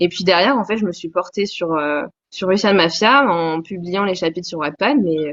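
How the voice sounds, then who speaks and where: An unremarkable speaking voice from a woman, medium in pitch, with ordinary pitch variation at a moderate pace. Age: 20s. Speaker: novelist. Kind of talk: interview.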